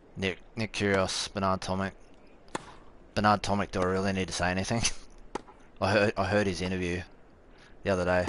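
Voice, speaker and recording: With an Australian accent, a man talks fairly quickly in a very deep, low voice, flat and monotone, leaving long, frequent pauses. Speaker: gaming streamer. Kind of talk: live gameplay commentary and chat. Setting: live stream.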